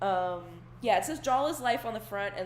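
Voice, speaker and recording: There is audible room echo around a woman's voice with vocal fry. Her pitch swings very widely. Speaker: digital artist. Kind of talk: casual chat over a real-time painting tutorial. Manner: casual, rambling with fillers.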